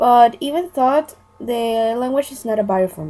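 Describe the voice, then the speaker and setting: In a Spanish accent, a woman with a fairly high pitch talks at a moderate pace with lively intonation. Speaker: language student. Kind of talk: scripted role-play monologue.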